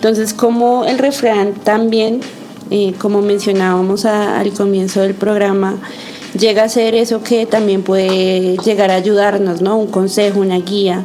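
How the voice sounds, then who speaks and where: Over noticeable background noise and audible room echo, a woman speaks fairly slowly at a medium pitch, with very even loudness and monotone, flat intonation. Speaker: community radio podcast host. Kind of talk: casual chat. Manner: halting, with fillers.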